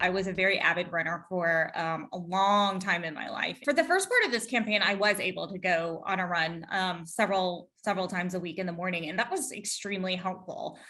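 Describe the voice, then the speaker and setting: An unremarkable speaking voice from a woman at medium pitch, fairly quick with hardly any pauses and fairly even intonation. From US South, Georgia. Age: 40s. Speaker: political candidate. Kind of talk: interview.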